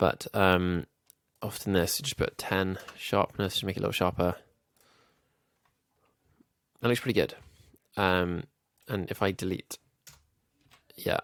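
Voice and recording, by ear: A man with a low pitch and a nasal sound, plus vocal fry, speaks at a fairly slow pace with long, frequent pauses. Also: fairly bright tone.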